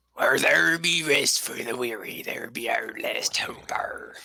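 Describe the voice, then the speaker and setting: The speaker uses a put-on character voice that is raspy. The pace is fairly slow. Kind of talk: pirate speech.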